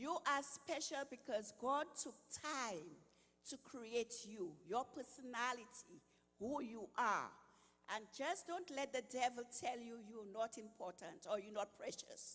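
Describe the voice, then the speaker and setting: A woman speaks at a fairly slow pace in a Saint Lucian accent. Her high pitch moves with lively intonation. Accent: Saint Lucian Caribbean. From Saint Lucia, Caribbean. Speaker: retired health worker, nutrition speaker. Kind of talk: inspirational talk.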